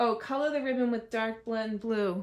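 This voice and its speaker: In a Massachusetts accent, a woman speaks fairly slowly at a high pitch. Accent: non-rhotic Massachusetts. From Massachusetts, US. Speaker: crafting demonstrator. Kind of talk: live crafting tutorial. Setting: live stream.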